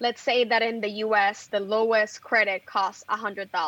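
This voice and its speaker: Here a woman talks with a Puerto Rican accent. Her pitch is fairly high and her pace fairly slow. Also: very clean recording, silent background. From Puerto Rico (Bayamón). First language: Spanish. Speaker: journalist and editor. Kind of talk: interview.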